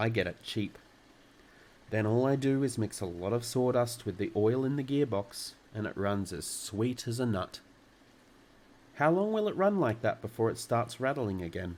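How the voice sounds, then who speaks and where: At a moderate pace with long, frequent pauses, a man talks in a calm tone at medium pitch with ordinary pitch variation. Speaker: storyteller. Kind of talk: children's book reading. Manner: calm, relaxing.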